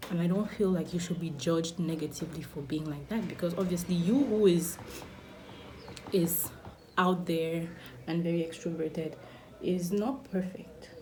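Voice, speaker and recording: Amid noticeable background noise and audible room echo, a woman with a fairly low pitch speaks at a moderate pace, using ordinary pitch variation and long, frequent pauses. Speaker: beauty vlogger. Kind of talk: casual chat.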